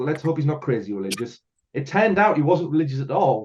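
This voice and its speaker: Very fast and somewhat breathy, a man speaks at a fairly high pitch. His voice swings very widely in pitch. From northeast England, Hartlepool. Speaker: filmmaker. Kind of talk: casual chat.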